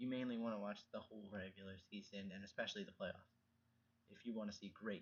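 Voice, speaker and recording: Soft-spoken yet with big swings in loudness, a man talks at a very fast pace. His fairly low pitch holds a monotone, flat intonation. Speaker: vlogger. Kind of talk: casual monologue. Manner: halting.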